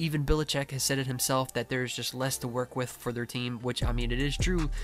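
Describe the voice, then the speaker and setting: A quiet man of medium pitch at a very fast pace, monotone and flat, with noticeable background noise. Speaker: sports video creator. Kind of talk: casual commentary. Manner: casual, filler-heavy.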